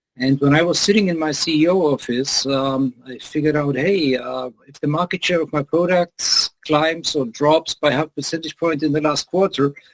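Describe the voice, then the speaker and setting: Speaking at a moderate pace with a German accent, a man with a fairly high pitch and ordinary pitch variation sounds dry and close, with no echo. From Germany. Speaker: business lecturer. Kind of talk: interview.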